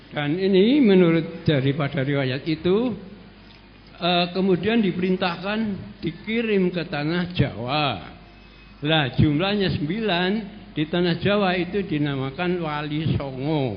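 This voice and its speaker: A man speaks at a high pitch with ordinary pitch variation. The pace is fairly slow. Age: 70s. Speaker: audience member asking a question. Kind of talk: question at a religious study session. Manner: halting.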